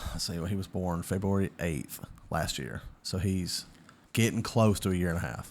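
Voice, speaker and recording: This man has a very deep, low pitch and a Southern US accent. His pitch varies in an ordinary way. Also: moderate pace. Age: 20s. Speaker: podcaster. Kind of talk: casual chat.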